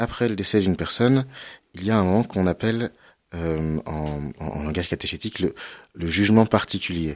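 A man's very deep, low voice at a moderate pace, with ordinary pitch variation and long, frequent pauses, on a very clean recording with a silent background. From western France (Cholet, Anjou). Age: 30s. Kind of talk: radio interview on theology.

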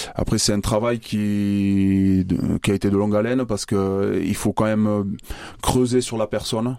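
In a dark, mellow tone, a man talks at a moderate pace with a fairly low pitch and flat, monotone intonation. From Basque Country, Bayonne. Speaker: rugby manager, former player. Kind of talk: radio interview. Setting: studio.

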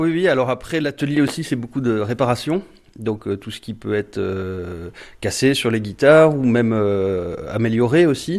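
An ordinary speaking voice from a man, medium-pitched and moderately paced, with lively intonation. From Marseille, southern France. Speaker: luthier and bass player. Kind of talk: radio interview.

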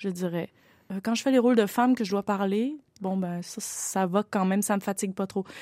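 A woman speaks at a medium pitch and a moderate pace, with a dark, mellow tone. The sound is dry and close, with no echo. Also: fairly even intonation, very clean recording, silent background. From Quebec. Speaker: opera singer. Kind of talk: interview.

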